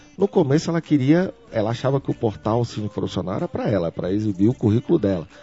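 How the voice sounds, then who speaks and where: A man's medium-pitched voice at a very fast pace, with very wide pitch swings and music in the background. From Brazil, Brasília. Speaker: tech entrepreneur. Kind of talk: interview. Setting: company office. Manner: frequent repetitions and hesitations.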